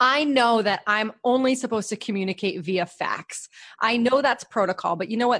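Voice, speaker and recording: A woman's normal speaking voice with an American accent, fairly high pitch, lively intonation and a moderate pace, over a quiet background. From New Hampshire, US. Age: 30s. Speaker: podcast host and writer. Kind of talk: casual interview.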